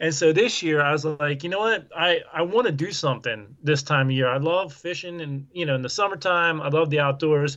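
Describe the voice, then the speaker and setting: Here is a man with an unremarkable speaking voice and a fairly high pitch. He goes at a fairly quick pace with hardly any pauses and ordinary pitch variation. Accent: American. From Southeast Pennsylvania. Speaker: outdoors YouTuber. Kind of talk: casual chat. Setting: video call.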